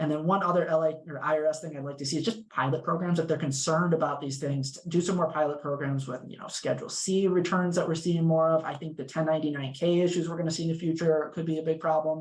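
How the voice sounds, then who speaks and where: The talking moves at a very fast pace with fairly even intonation. Noticeable background noise runs underneath. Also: man, fairly high pitch for a man. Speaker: legal clinic tax advocate. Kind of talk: panel discussion.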